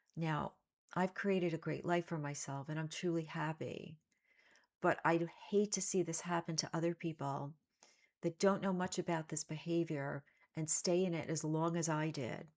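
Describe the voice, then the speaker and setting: A woman with a fairly low pitch and fairly even intonation speaks in an ordinary speaking voice. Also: moderate pace, very clean recording, silent background. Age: 60s. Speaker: self-help coach. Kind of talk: motivational talk to camera.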